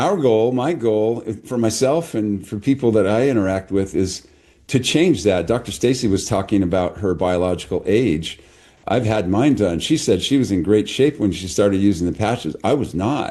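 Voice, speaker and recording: Against a quiet background, a man speaks at a moderate pace with a fairly low pitch and a dark, mellow tone. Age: 70s. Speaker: chiropractor. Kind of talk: casual chat.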